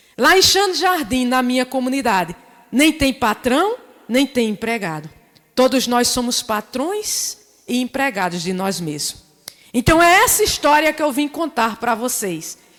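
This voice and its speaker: With a Paraíba accent, the speaker goes at a fairly slow pace in an animated tone with very wide pitch swings, over noticeable background noise. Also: woman, high pitch for a woman. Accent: Northeastern Paraíba. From Northeast Brazil, Paraíba (rural Areia). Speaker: community entrepreneur, invited speaker. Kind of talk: seminar talk.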